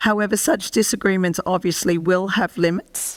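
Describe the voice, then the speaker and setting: A woman with an Australian accent speaks at a medium pitch with ordinary pitch variation, on a very clean recording with a silent background and a dry, close sound with no echo. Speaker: professor and medical ethicist. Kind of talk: lecture. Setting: presentation to an audience. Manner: formal.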